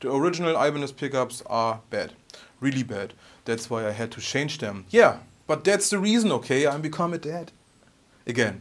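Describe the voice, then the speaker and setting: A man with a strong German accent, fairly high pitch and a moderate pace. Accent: heavy German. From Germany. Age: 30s. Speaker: guitar YouTuber. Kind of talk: vlog Q&A monologue. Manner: halting.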